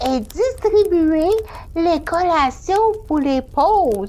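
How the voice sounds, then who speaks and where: In a put-on character voice of extremely high pitch, the speaker goes at a very slow pace over clear background noise. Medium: audio drama.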